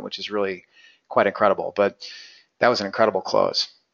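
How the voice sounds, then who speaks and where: A man rattles off lines at a very fast pace. He uses a raspy, put-on character voice. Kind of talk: professional market commentary.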